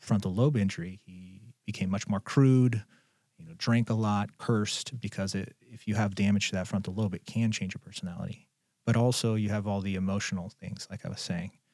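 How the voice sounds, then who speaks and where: On a very clean recording with a silent background, a man with an ordinary speaking voice talks fairly quickly at a fairly low pitch, his intonation fairly even but his loudness swinging widely. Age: 30s. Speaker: psychologist. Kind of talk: casual chat. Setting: studio.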